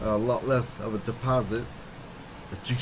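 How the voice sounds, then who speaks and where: A man with an American accent speaks at a medium pitch in a flat, monotone delivery, with audible room echo. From US Midwest, Chicago. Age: 60s. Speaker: retired American expat, ex-military. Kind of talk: casual interview.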